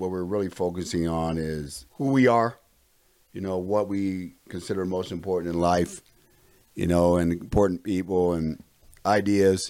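Speaking at a moderate pace, a man has a very deep, low pitch, a dark, mellow tone, and fairly even intonation. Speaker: environmental health and safety coordinator. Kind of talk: casual panel discussion.

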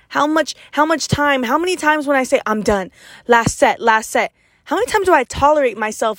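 Energetic and animated, this voice moves at a fairly quick pace with lively intonation and a dry, close sound free of echo. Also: woman. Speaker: podcast host, motivational speaker. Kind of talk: motivational monologue. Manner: loud; energetic, animated.

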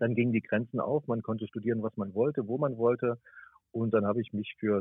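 A man speaks at a medium pitch in an ordinary speaking voice. His pace is fairly quick and his intonation fairly even. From Thuringia, eastern Germany. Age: 50s. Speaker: radio journalist. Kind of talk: interview. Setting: phone call.

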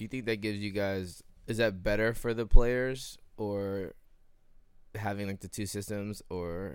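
Speaking at a moderate pace with fairly even intonation, a man with a very deep, low voice is heard on a very clean recording with a silent background. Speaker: podcast host. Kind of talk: casual chat.

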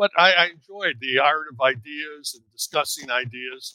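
A man talks in a bright, sharp tone with an American accent. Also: dry, close sound with no echo. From Chicago. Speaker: author, former trial lawyer. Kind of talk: interview.

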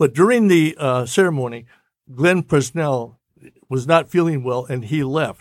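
Speaking at a fairly slow pace, a man with an American accent has a normal speaking voice, a fairly high pitch and ordinary pitch variation. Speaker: radio man. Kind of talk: casual chat.

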